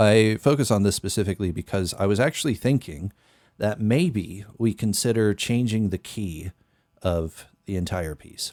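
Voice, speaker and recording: A man speaks at a moderate pace with fairly low pitch and ordinary pitch variation. The background is quiet. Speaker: musician and streamer; streamer. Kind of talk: casual livestream chat while producing music. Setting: live stream. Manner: speaks a bit higher than natural.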